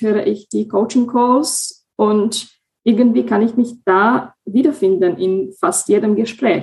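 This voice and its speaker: In a Slovak accent, a woman talks at a very slow pace, her fairly high, somewhat breathy voice showing ordinary pitch variation. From Slovakia. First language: Slovak (speaking German). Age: 20s. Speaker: coaching client, project assistant. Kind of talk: interview.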